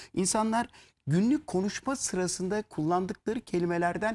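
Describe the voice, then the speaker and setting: On a very clean recording with a silent background, a man speaks at a high pitch and a moderate pace. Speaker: lyricist. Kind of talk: interview.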